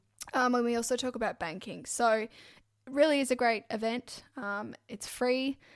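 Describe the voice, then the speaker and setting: In a very clean recording with a silent background, a woman speaks with an Australian accent at a high pitch. Her pace is moderate and her intonation fairly even. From Brisbane, Australia. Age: 20s. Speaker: podcast co-host, mortgage broker. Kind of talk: casual chat.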